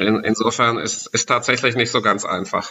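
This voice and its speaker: Medium in pitch and moderate in pace, a man talks in an ordinary speaking voice. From Germany, Sauerland (Westphalia). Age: 40s. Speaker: expat marketing manager. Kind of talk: casual interview. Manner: frequent fillers and repetitions.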